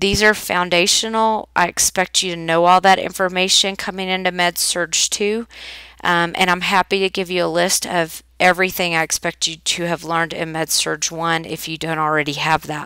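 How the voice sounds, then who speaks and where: The recording is dry and close with no echo. A woman talks at a moderate pace and medium pitch in a bright, sharp tone. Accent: Oklahoma. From Oklahoma. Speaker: nursing instructor. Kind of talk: recorded course welcome lecture. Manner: casual, with filler ums.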